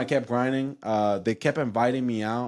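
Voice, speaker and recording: Heard against a silent background in a very clean recording, the speaker has a Spanish accent. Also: man. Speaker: insurance agency owner. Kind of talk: casual chat. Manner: animated.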